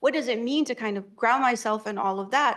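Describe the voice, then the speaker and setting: A woman with an Arabic accent at a very fast pace. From Egypt. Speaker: academic author. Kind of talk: panel discussion. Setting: library room with audience. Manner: halting, many fillers.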